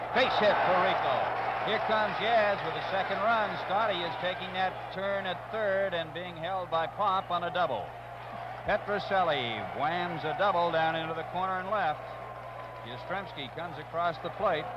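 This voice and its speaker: A man speaks over loud background noise. The sound itself is dry with no echo. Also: ordinary pitch variation, moderate pace. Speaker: play-by-play announcer. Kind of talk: sports commentary. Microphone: old recording.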